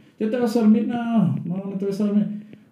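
A man with a dark, mellow tone sounds somewhat breathy amid audible room echo. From Tabasco, Mexico. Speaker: psychologist. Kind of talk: casual chat.

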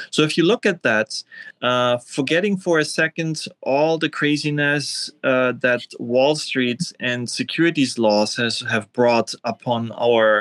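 A man with a German accent talks at a very slow pace with hardly any pauses, using a fairly high pitch, ordinary pitch variation and very even loudness, in a dry, close sound with no echo. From Austria (Vienna), East German-born. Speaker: tech entrepreneur, cryptocurrency founder. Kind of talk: interview.

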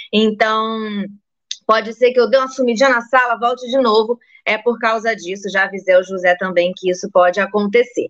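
A woman's animated, fairly high voice with ordinary pitch variation. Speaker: livestream host. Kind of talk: casual interview. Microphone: phone instead of computer.

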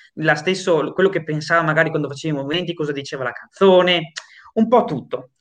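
A man with a fairly high voice talks very fast and keeps his intonation fairly even. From northern Italy, Padova province. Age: 20s. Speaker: singer-songwriter. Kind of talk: interview. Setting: video call.

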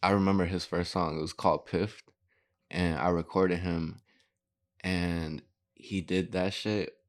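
A man's very deep, low voice with an American accent, monotone and flat, broken by long, frequent pauses, in a very clean recording with a silent background. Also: moderate pace. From Gurnee, northern Illinois. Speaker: rapper. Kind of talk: casual chat.

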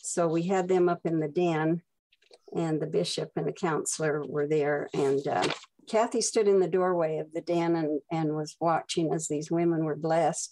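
A woman with an American accent, fairly low in pitch, dark and mellow in tone, at a moderate pace and with fairly even intonation. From Utah. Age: 80s+. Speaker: mother of a daughter with Down syndrome. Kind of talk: prepared personal reminiscence.

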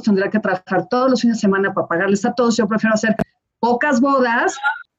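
A woman with a fairly high pitch talks at a very fast pace with ordinary pitch variation. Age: 40s. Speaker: wedding planner. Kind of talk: casual chat.

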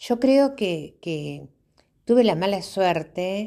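In a Uruguayan accent, a woman speaks very slowly with a fairly low pitch and a dark, mellow tone. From Uruguay, rural Tacuarembó. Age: 60s. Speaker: memoir narrator. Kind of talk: personal storytelling.

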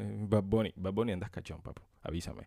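Fairly quick speech in a dark, mellow tone on a very clean recording with a silent background. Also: man. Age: 20s. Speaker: podcast host. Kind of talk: improvised solo podcast monologue. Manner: casual, laughing often.

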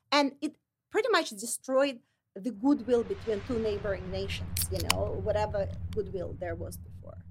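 In a Russian accent, a woman talks at a moderate pace. Her loudness swings widely. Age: 40s. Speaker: licensed counselor and model. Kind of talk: interview.

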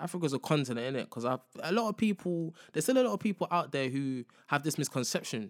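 A man with a London accent talks at a fairly quick pace, his fairly high voice lively in intonation. The recording is very clean with a silent background and a dry, close sound with no echo. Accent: London multicultural English. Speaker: podcast host. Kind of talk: casual monologue. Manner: casual, slangy, repeats filler phrases.

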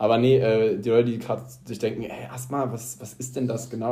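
With audible room echo, a man speaks at a medium pitch in a somewhat breathy voice with fairly even intonation. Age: 20s. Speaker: podcast co-host, nurse. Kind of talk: casual chat.

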